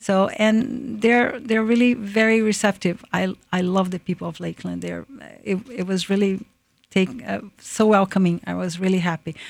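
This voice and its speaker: A woman with a Portuguese accent talks at a moderate pace. Her pitch is medium and her intonation fairly even. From Brazil, Japanese-Brazilian. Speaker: food business founder. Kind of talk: radio interview. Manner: halting.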